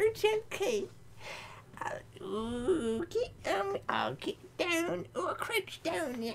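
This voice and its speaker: Putting on a squeaky character voice at an extremely high pitch, a man talks at a very slow pace over clear background noise. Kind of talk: comic monster impression. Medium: game stream. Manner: crude, grumbling, sweary.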